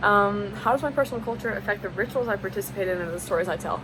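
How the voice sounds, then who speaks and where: A woman speaks with a Southern US accent and ordinary pitch variation. Noticeable background noise is present. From US South. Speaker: college student. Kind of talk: class assignment video monologue. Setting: at a desk on camera. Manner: casual, frequent fillers.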